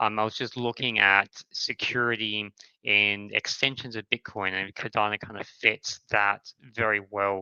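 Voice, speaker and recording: A man with an Australian accent talks at a moderate pace in a fairly low voice. His intonation is flat and monotone. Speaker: crypto startup founder. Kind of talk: podcast interview.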